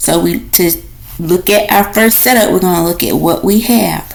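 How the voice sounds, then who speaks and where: A woman is speaking with noticeable noise behind her. The room's echo is audible. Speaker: nursing instructor. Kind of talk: lecture. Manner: slow.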